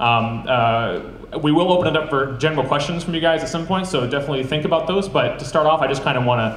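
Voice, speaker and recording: Delivered at a very fast pace with an American accent, the speech carries audible room echo and light background noise. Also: man. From Wisconsin. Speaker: filmmaker and panel moderator; panel moderator. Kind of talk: panel discussion. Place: hall. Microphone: camera far.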